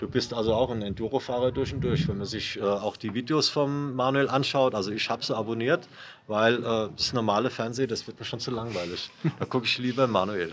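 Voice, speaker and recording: Here is a man at medium pitch with ordinary pitch variation. His is an unremarkable speaking voice. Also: fairly quick pace. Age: 60s. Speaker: former enduro association chairman, enduro rider. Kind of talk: interview.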